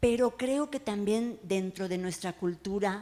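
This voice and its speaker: A woman talks at a very slow pace, her pitch varying in an ordinary way. Her tone is dark and mellow. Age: 60s. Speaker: writer and oral storyteller. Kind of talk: panel talk before audience. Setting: bar event with live audience. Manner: animated.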